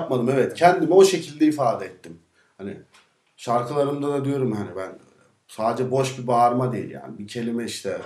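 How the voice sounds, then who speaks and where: A man talks at a fairly quick pace with big swings in loudness. The background is quiet, with audible room echo. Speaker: singer. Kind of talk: interview answer. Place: studio.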